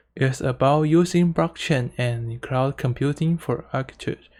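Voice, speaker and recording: The speaker has a non-native accent and talks at a fairly slow pace. The recording is very clean, with a silent background. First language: Mandarin Chinese. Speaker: student presenter. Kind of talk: conference presentation. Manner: halting, with self-corrections.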